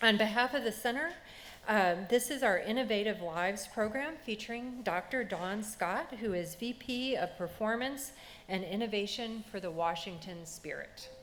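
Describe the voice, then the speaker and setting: A woman talks in a plain, everyday voice at a fairly high pitch. Her pace is moderate, with ordinary pitch variation. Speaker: museum center director. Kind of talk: event welcome speech.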